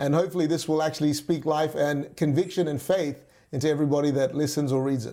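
Speaking in an Australian accent, a man with a dark, mellow tone and fairly high pitch goes at a very fast pace with monotone, flat intonation in a very clean recording with a silent background. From Western Australia (Perth), from age nine; early childhood in Malaysia. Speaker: pastor. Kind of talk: interview.

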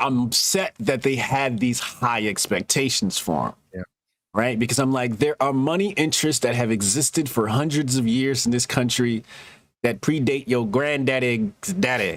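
At a moderate pace, a man talks in an unremarkable speaking voice of medium pitch with ordinary pitch variation. The recording is very clean, with a silent background. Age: 40s. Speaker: podcast host and tech startup co-founder. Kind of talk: casual chat.

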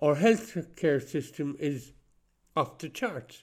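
A man speaks with an Irish accent. His pace is fairly slow. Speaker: podcast host. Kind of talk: solo spoken monologue. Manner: halting.

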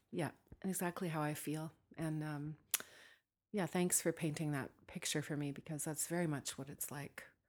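Recorded very cleanly against a silent background, a woman with a very deep, low voice talks at a moderate pace, her intonation fairly even and her pauses long and frequent. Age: 40s. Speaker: singer-songwriter. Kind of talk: interview.

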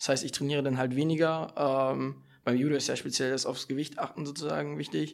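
On a very clean recording with a silent background, a man at medium pitch speaks at a fairly quick pace with fairly even intonation. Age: young. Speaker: judo athlete. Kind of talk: casual chat. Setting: seminar room with live audience. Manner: halting.

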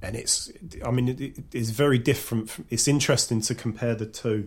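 A man with a Cockney accent talks with fairly even intonation in a somewhat breathy voice. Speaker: podcaster. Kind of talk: casual chat. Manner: talkative, rambling.

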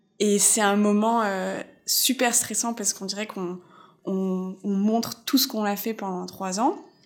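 A woman speaks fairly slowly in a medium pitch with fairly even intonation. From France, Alsace. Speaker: illustrator. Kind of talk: interview narrative. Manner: hesitant, many fillers.

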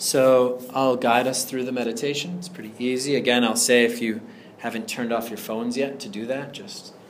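Delivered at a fairly quick pace with ordinary pitch variation, the speech comes over noticeable background noise. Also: man. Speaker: meditation teacher. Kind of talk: guided meditation. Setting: room with live group, air unit humming. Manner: warm, relaxed, casual with humor in the intro.

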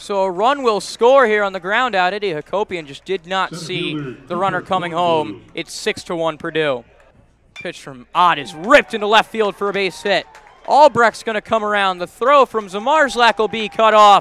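A man's raised, projected voice, high in pitch, with lively intonation, big swings in loudness and a moderate pace. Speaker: baseball radio announcer. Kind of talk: live baseball play-by-play commentary. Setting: radio broadcast highlights.

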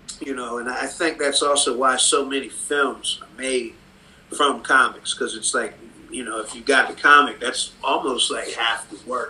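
At a moderate speed, a man talks over noticeable background noise. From Cleveland, Ohio (Cleveland Heights). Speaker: comics artist. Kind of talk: casual interview. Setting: video call.

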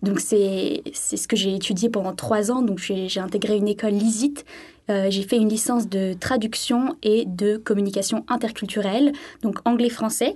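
Against a quiet background, a woman with a fairly high pitch and a dark, mellow tone speaks at a moderate pace. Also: ordinary pitch variation. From southern France, Sainte-Maxime. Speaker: French language teaching assistant. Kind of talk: radio interview.

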